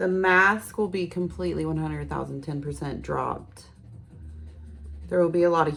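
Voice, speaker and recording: The voice is soft-spoken and relaxed in tone, moving at a moderate pace. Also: woman. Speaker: tarot reader. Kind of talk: tarot reading.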